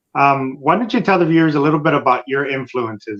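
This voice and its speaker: An ordinary speaking voice from a man, medium in pitch with ordinary pitch variation, at a fairly quick pace. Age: 50s. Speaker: podcast host and author. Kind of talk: interview.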